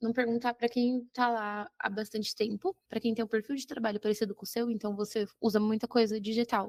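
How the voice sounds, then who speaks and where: In an ordinary speaking voice, a woman talks at a moderate pace and a fairly high pitch, with a dry, close sound and no echo. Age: 20s. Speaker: geography teacher. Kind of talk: casual interview.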